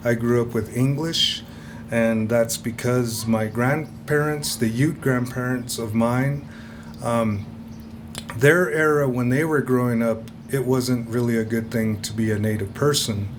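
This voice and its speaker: In an American accent, a man speaks at a fairly slow pace and medium pitch with ordinary pitch variation, amid audible room echo and noticeable background noise. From Ute reservation, Fort Duchesne, Utah. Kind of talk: lecture. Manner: hesitant, filler-heavy.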